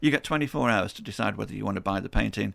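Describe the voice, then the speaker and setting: Lively intonation and vocal fry in a Potteries accent, on a very clean recording with a silent background. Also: man. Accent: Potteries (Stoke) English. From Stoke-on-Trent, England. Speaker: artist. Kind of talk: radio interview.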